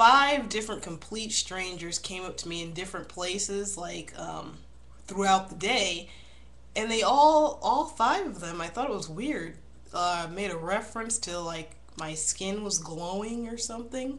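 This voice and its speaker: Audible room echo fills the recording as a woman speaks at a fairly slow pace in a medium pitch, with lively intonation and big swings in loudness. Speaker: video blogger. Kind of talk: casual vlog monologue. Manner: mumbling; halting.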